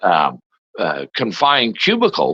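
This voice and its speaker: This man has a Canadian accent, a fairly high pitch and vocal fry. His tone is bright and sharp, and the sound is dry and close with no echo. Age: 60s. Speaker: former provincial politician. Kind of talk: interview. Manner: halting, many fillers.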